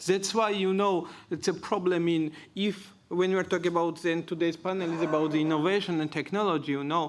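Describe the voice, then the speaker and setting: With a Georgian accent, a man talks at a high pitch with ordinary pitch variation. The recording is very clean and the background silent. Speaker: panelist. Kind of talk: panel discussion.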